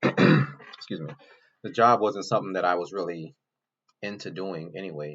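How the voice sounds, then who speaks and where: A man speaks with an American accent. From Louisiana, US South. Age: 30s. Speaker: YouTuber, former Air Force analyst. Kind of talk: casual personal introduction monologue. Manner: halting, many fillers.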